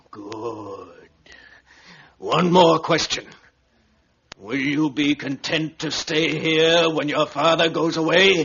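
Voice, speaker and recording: Putting on a raspy character voice, a man with a fairly high pitch speaks at a very slow pace with long, frequent pauses. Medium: audio drama. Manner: formal, measured.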